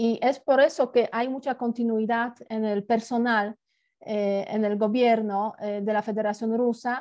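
A woman's fairly high-pitched voice in a Polish accent, fairly slow and flat, monotone in intonation. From southern Poland, Gorlice. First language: Polish (speaking Spanish). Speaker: international relations professor and former ambassador. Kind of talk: interview.

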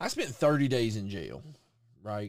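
A man's unremarkable speaking voice at medium pitch, fairly slow, with lively intonation. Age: 40s. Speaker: podcast host. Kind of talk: casual banter, crude comedy chat.

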